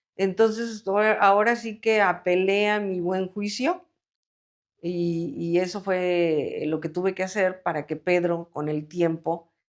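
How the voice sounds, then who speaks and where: In a plain, everyday voice, a woman speaks fairly slowly at a medium pitch with fairly even intonation. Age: 60s. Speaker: mother of a son with schizophrenia, interviewee. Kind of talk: personal testimony interview.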